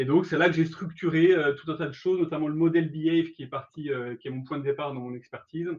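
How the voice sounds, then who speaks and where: A man with a fairly high pitch races along at a very fast pace, his intonation fairly even but his loudness swinging widely. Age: 40s. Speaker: career education trainer, startup founder. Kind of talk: webinar presentation. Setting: online webinar. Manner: hesitant, many fillers.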